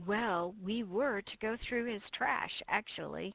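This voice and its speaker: Using a put-on character voice, a woman speaks at a fairly slow pace in a raspy, medium-pitched tone. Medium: audio drama. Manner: imitating a newscaster's voice.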